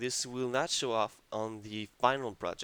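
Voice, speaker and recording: Speaking at a fairly slow pace with a French accent, the voice sounds dry and close, with no echo. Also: man. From France. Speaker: video game tutorial maker. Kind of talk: tutorial. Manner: hesitant, many fillers.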